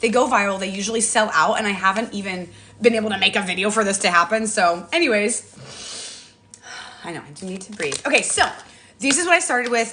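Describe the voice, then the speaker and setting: Very fast speech from a woman with fairly high pitch, against noticeable background noise. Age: 40s. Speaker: social media influencer. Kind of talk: live stream product talk. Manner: animated.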